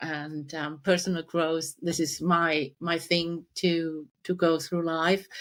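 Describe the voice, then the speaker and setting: A woman speaks with a German accent in a flat monotone, her pitch fairly low. The recording is very clean, with a silent background. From Germany. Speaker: life coach. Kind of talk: podcast interview.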